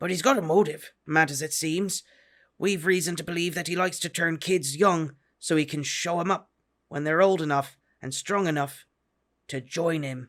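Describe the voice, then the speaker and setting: In a very clean recording with a silent background, a man uses a gruff, high, put-on character voice at a moderate pace. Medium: read story. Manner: blunt, gruff, terse.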